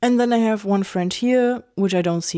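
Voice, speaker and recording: With a German accent, a woman speaks at a moderate pace. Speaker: video essayist. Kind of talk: casual monologue. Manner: halting.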